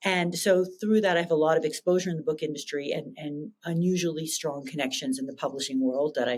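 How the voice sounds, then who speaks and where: With a Canadian accent, a woman in a very deep, low pitch speaks at a very fast pace, barely pausing, her intonation lively. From Canada. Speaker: tech startup founder and CEO. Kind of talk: interview.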